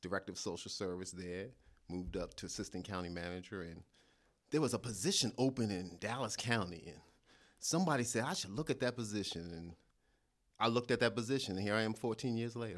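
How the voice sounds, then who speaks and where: On a very clean recording with a silent background, a man talks very fast at a fairly low pitch with ordinary pitch variation. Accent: New York. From New York. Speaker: county administrator. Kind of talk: interview.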